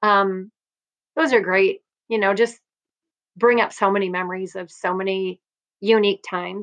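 A woman with a Midwestern US accent, fairly even intonation and long, frequent pauses, in a dry, close sound with no echo. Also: medium pitch for a woman, moderate pace. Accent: US Midwest. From Iowa, Cedar Rapids. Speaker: volleyball coach. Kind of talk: interview.

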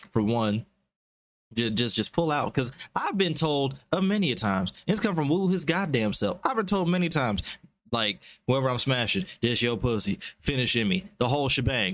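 This man speaks at a medium pitch and a moderate pace, with very even loudness. His tone is animated, with very wide pitch swings. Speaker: podcast host. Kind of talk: casual podcast banter. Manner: animated, casual.

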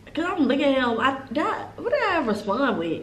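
There is audible room echo along with noticeable background noise. A woman talks at a moderate pace and a high pitch. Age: 20s. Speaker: podcast co-host, college student. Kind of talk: casual chat, storytime.

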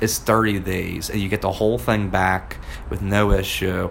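A man with a fairly low pitch speaks at a moderate pace amid noticeable background noise. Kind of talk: casual chat. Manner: casual, laid-back.

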